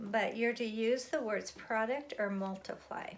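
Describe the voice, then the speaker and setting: A woman speaks at a fairly slow pace. Hers is a plain, everyday voice. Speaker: elementary school teacher. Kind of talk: tutorial.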